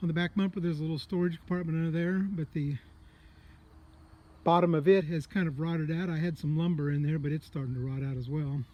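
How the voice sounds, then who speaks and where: A man talks at a very fast pace in a dark, mellow tone, his pitch fairly high and his intonation fairly even. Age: 60s. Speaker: private seller showing his travel trailer. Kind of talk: walkaround tour video. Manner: casual, with hesitations.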